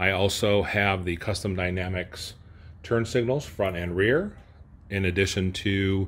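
A man with an unremarkable speaking voice talks at a fairly slow pace in a fairly low pitch over light background noise. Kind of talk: casual show-and-tell walkaround. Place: garage.

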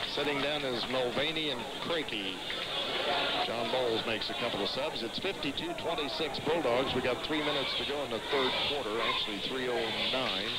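The sound is dry with no echo, under loud background noise. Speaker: play-by-play announcer. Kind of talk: live high school basketball play-by-play, rapid call of each pass and shot. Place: hall.

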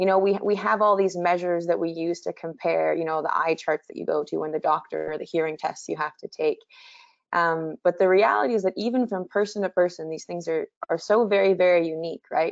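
Over a quiet background, a woman talks at a fairly quick pace with ordinary pitch variation in a dry sound with no echo. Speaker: presenter. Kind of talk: webinar lecture. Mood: warm, enthusiastic. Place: home room. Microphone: video call.

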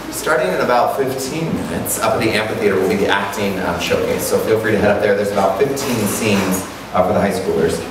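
Amid noticeable background noise and audible room echo, a man talks at a very fast pace, his pitch fairly low with ordinary variation. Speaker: camp director host. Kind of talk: audience announcement. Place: hall.

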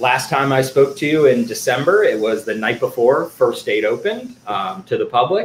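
Light background noise and audible room echo around a man speaking at a moderate pace. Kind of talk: lecture. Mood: excited, friendly. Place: home room. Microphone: webcam.

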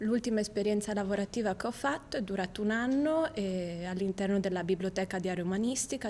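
A woman at a medium pitch and fairly quick pace, with ordinary pitch variation and light background noise. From Italy, Venice; Italy. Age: 20s. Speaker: university student. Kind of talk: video CV self-presentation. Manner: slightly halting, with fillers. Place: studio.

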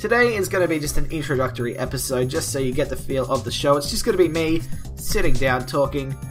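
Clear music plays behind a man speaking with ordinary pitch variation. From Australia. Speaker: vlogger. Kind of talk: casual talk to camera. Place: home room. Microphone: webcam.

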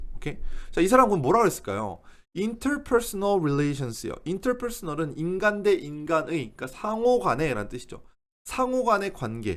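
Talking at a fairly slow pace, a man with a high pitch makes very wide pitch swings. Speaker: English teacher. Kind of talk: lecture.

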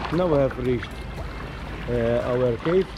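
Music plays clearly behind the voice. The speaker is a man. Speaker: kayak tour vlogger. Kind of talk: casual vlog commentary. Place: boat. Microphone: camera far.

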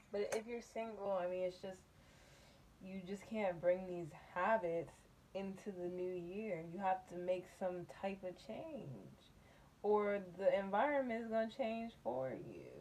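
A woman talks at medium pitch and a fairly slow pace, with ordinary pitch variation. Her tone is slightly mellow.

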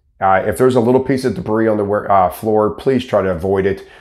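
A man's fairly low voice, fairly quick pace and ordinary pitch variation over a quiet background. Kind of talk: casual explanatory talk to camera. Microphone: lapel.

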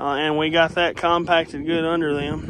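Fairly high for a man, his voice comes with an Appalachian accent and monotone, flat intonation, dry with no echo and light background noise. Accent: Appalachian Southern US. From Kentucky Appalachia, US. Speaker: DIY builder and YouTuber. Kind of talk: casual how-to video narration. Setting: outdoors at job site. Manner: casual, folksy. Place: garden. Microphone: phone near.

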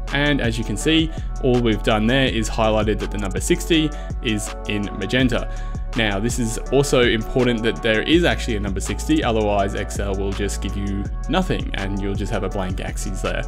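A man speaks at a moderate pace while clear music plays in the background. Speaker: spreadsheet tutorial host. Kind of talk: tutorial. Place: home room.

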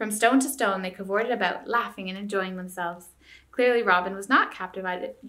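An unforced reading voice is heard here.

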